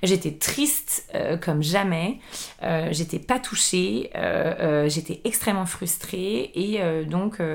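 A woman speaks in a normal speaking voice, her pitch fairly low and its movement ordinary. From Paris suburbs, France. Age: 30s. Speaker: chef and entrepreneur. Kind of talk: casual interview.

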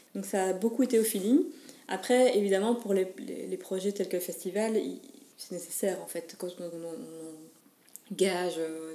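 Her voice sits at a medium pitch for a woman, with a dark, mellow tone, and she speaks at a moderate pace. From Belgium, Mons. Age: 20s. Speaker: photographer and wedding entrepreneur. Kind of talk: interview. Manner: halting.

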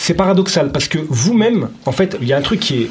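A man at a moderate pace, very wide pitch swings, noticeable background noise behind him. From Lyon, France. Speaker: podcast host. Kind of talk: casual chat.

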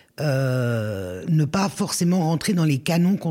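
Speaking very slowly, a woman uses a very deep, low pitch with very wide pitch swings. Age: 60s. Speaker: former social worker and risk manager. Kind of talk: casual chat.

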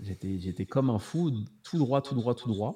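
Somewhat breathy, a man's voice carries a dark, mellow tone and lively intonation. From France, Paris. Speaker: watch YouTuber. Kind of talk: casual chat. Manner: unfiltered, uninhibited tone.

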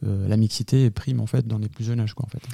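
A man talks at a very fast pace. His voice is dark and mellow and fairly low in pitch. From northern France, Lille. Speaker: sports league president. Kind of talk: interview.

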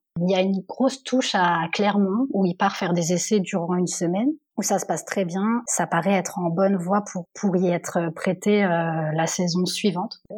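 This is a plain, everyday voice at a moderate pace with ordinary pitch variation. It flows with hardly any pauses. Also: woman, medium pitch for a woman. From Normandy, France. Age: 30s. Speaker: HR assistant. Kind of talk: testimony.

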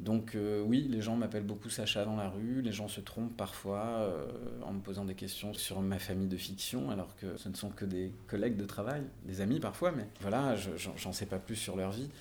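A man at a moderate pace, with audible room echo. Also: fairly low pitch for a man, ordinary pitch variation. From Marseille area, southern France. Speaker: actor and musician. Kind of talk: casual interview. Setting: on location, mic on wine crates. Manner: halting, frequent repetitions.

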